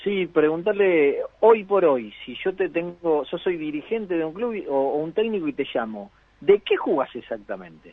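A man speaks in a high voice with an Argentine accent and lively intonation. He goes at a fairly slow pace with hardly any pauses. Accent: Rioplatense Argentine Spanish. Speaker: sports radio host. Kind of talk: radio interview.

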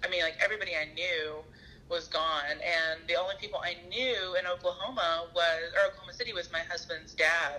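A woman's fairly low voice with a Southern US accent, fairly even intonation and a fairly quick pace. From US South, Arkansas. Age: 30s. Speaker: therapist. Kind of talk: casual chat.

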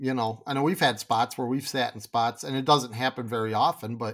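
With a Michigan accent, a man speaks with ordinary pitch variation on a very clean recording against a silent background. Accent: Michigan (Upper Midwest) American. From Michigan, Grand Rapids area. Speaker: fly tying tool business owner. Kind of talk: casual interview chat.

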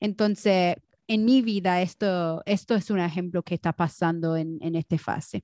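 Against a quiet background, a woman speaks at a fairly slow pace with a fairly low pitch and a dark, mellow tone. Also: ordinary pitch variation. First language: English (speaking Spanish). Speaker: podcast co-host. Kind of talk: casual chat. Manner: halting, searching for Spanish words.

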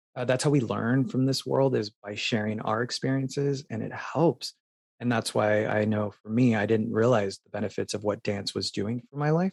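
A plain, everyday voice with an American accent moves at a moderate pace with ordinary pitch variation. Loudness swings widely, and the sound is dry and close with no echo. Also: man, medium pitch for a man. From Phoenix, Arizona. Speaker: dancer and performer. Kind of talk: interview.

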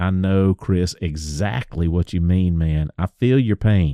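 With a Southern US accent, a man speaks at a fairly slow pace in a very deep, low pitch. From US South. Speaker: woodworker and podcast host. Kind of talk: casual podcast monologue. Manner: animated.

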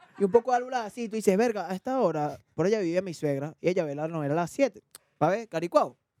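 A man speaks very fast in a high voice with lively intonation. His tone is dark and mellow, and the sound is dry and close with no echo. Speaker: podcast host. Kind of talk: casual chat.

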